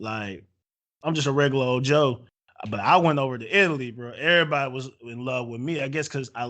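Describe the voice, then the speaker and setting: This is a man with an ordinary speaking voice at a medium pitch. His pitch varies in an ordinary way. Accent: American. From USA. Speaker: podcast host. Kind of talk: casual chat.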